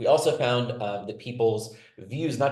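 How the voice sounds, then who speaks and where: Audible room echo is present. The speaker is a man. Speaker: political science researcher. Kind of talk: webinar panel presentation. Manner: fast.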